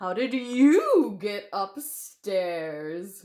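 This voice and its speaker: It's a put-on character voice with lively intonation. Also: woman, medium pitch for a woman. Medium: read story.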